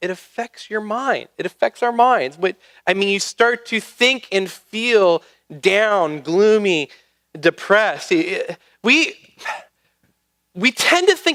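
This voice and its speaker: Speaking at a fairly slow pace, a man uses a raised, projected voice with lively intonation. The sound is dry and close, with no echo. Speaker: pastor. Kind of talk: sermon. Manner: halting, many fillers and repeats.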